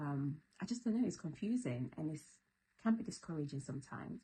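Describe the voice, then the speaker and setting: A soft-spoken, somewhat breathy woman's voice, very deep and low, with a dark, mellow tone, lively intonation and a fairly quick pace. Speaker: YouTuber. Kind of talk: casual vlog talk. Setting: at home at night. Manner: soft, low voice.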